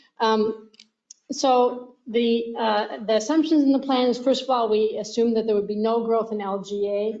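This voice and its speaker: A woman's fairly high voice at a moderate pace. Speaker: financial consultant. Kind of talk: presentation. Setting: council meeting.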